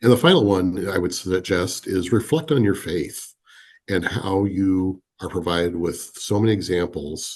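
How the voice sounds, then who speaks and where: Here a man with an American accent speaks in a very deep, low pitch at a moderate pace. His pitch variation is ordinary, and the background is quiet. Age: 50s. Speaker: business leader. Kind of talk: podcast interview.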